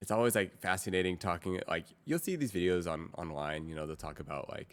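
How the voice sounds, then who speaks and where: Recorded very cleanly against a silent background, an ordinary speaking voice moves at a fairly quick pace with lively intonation. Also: man. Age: 30s. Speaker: streamer. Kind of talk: casual chat.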